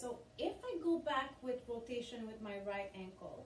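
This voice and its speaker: A woman's high, upbeat voice with a French accent and lively intonation, amid audible room echo and noticeable background noise. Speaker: fitness instructor. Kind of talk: guided exercise class. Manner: encouraging, upbeat.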